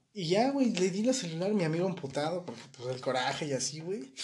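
A man's high voice swings very widely in pitch at a moderate pace, with audible room echo and noticeable background noise. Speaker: podcast co-host. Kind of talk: casual chat. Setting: live stream. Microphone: poor quality mic.

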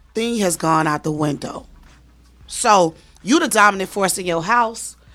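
There is music in the background as a woman speaks with lively intonation. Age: 40s. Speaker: strip club house mom. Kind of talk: casual interview.

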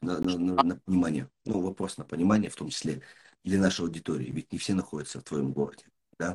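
The speech races along at a very fast pace, showing vocal fry and ordinary pitch variation. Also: man, very deep, low pitch for a man. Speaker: podcast host and business mentor. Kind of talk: casual interview.

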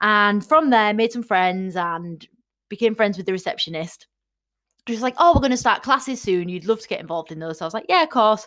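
A woman with an English accent speaks at a fairly quick pace in a fairly high pitch, her tone animated and her intonation lively. Her loudness swings widely, and the recording is very clean with a silent background. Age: 30s. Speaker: fitness coach. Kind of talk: casual monologue.

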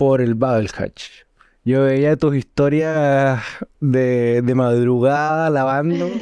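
In a Chilean accent, a man speaks at a very slow pace with a dark, mellow tone. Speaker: podcast host. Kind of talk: casual chat.

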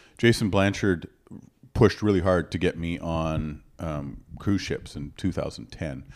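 A man with a Canadian accent speaks in a very deep, low voice with vocal fry and ordinary pitch variation, on a very clean recording with a silent background. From western Canada (Alberta). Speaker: comedian. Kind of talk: casual chat.

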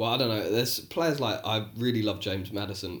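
The man's voice comes across somewhat breathy. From England. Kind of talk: casual banter chat, podcast. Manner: swearing, chatty, joking.

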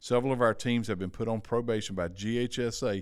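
The recording is very clean, the background silent. An unremarkable speaking voice shows ordinary pitch variation at a moderate pace. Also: man. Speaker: co-host.

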